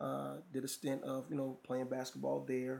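A man with a Southern accent speaks at a moderate pace in a medium pitch and a flat, monotone delivery. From North Carolina, Raleigh. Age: young. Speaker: strength and conditioning trainer. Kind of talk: podcast interview. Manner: halting, many fillers.

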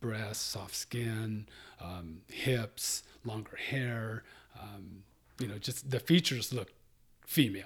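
Somewhat breathy and fairly low in pitch, a man talks at a very slow pace with ordinary pitch variation and long, frequent pauses. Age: 50s. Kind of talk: interview.

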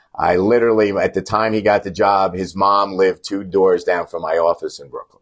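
In a normal speaking voice, a man with an American accent talks at a fairly quick pace with hardly any pauses, his pitch fairly low and his intonation fairly even, though his loudness swings widely. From New York. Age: 60s. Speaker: lawyer and team booster. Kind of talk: interview.

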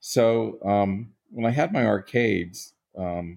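In an American accent, a man talks with a dark, mellow tone and ordinary pitch variation. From Baltimore, Maryland, US. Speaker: pinball and gaming industry executive. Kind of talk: interview.

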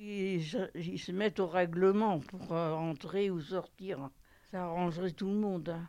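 A woman's fairly low, dark and mellow voice, very slow and fairly even in intonation. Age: 80s+. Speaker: nursing home resident. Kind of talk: interview testimony.

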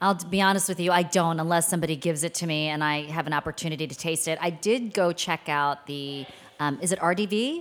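Talking at a very fast pace, a woman uses a fairly low pitch and ordinary pitch variation with a Mid-Atlantic accent. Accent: General American, Mid-Atlantic. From Washington DC area, Maryland suburbs. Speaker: TV news anchor. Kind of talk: casual chat. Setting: studio.

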